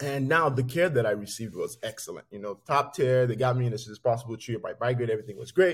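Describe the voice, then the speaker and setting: This man speaks at a very fast pace with hardly any pauses. His medium-pitched voice is somewhat breathy, with ordinary pitch variation. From Nigeria. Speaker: physician and healthcare executive. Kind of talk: interview conversation.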